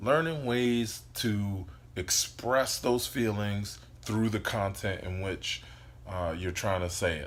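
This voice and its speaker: Fairly low in pitch, a man speaks with ordinary pitch variation amid audible room echo. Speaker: life coach vlogger. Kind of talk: casual motivational monologue. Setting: indoors, sitting on the floor by a window. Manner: loud; hesitant, many fillers.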